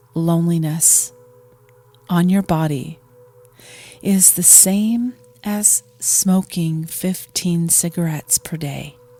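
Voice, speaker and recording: Over music in the background, the voice moves at a very slow pace in a calm tone with fairly even intonation. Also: woman. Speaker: meditation guide. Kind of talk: guided meditation. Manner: calm, slow.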